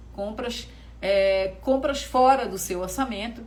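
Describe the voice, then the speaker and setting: A woman is heard through noticeable background noise and audible room echo. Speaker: financial educator. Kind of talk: online class livestream. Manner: casual, conversational.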